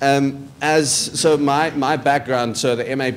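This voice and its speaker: A man's voice over noticeable background noise. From South Africa. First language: not English. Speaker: journalism graduate student. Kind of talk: presentation to prospective students. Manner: halting, many repetitions and fillers.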